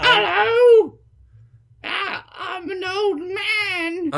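In a put-on character voice with a British accent, the speaker's pitch is extremely high.

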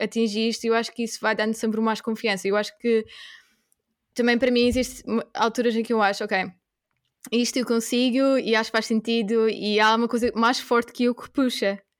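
The recording is very clean, with a silent background. A woman with fairly high pitch speaks at a moderate pace in a monotone, flat intonation. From Portugal. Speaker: veterinary graduate turned coworking host. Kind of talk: casual interview chat.

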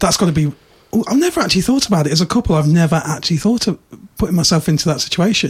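Speaking at a very fast pace in a British accent, a man uses a high pitch and lively intonation with very even loudness. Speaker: podcast host. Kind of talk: casual chat. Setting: studio.

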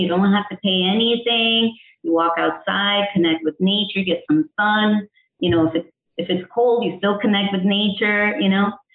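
An unremarkable speaking voice from a woman, medium in pitch with ordinary variation, at a moderate pace and very even loudness. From Connecticut, US (born in El Salvador). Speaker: integrative health coach. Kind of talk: interview.

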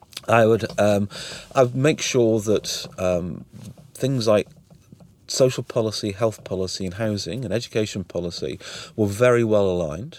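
A man speaks in a Welsh accent at a moderate pace, with long, frequent pauses. His pitch is fairly low, with ordinary variation. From Wales. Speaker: museum chief executive, former health executive. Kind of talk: interview conversation. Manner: hesitant, filler words.

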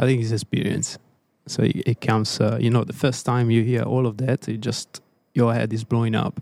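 Speaking with an Italian accent, a man holds a medium pitch and a monotone, flat intonation at a moderate pace. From Italy, Tuscany. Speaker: race engineer. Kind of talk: casual chat.

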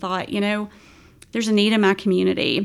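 Here a woman talks in an Appalachian accent with fairly even intonation. The recording is very clean, with a silent background. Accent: Appalachian American. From West Virginia. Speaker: nonprofit executive director. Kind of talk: podcast interview.

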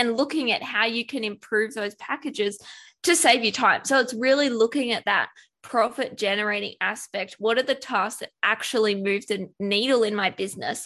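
With an Australian accent, a woman talks at a moderate pace with a fairly high pitch and a bright, sharp tone. Her pitch variation is ordinary, and the background is quiet. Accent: Australian, noticeable. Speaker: business productivity expert and virtual assistant. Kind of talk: interview conversation.

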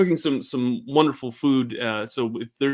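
The speech comes in a natural reading voice whose pitch moves in an ordinary way.

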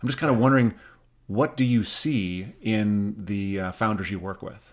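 At a moderate pace, a man with an American accent talks in an unremarkable speaking voice, fairly low in pitch with ordinary pitch variation. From US Midwest, Rapid City, South Dakota. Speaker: podcast co-host. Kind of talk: interview.

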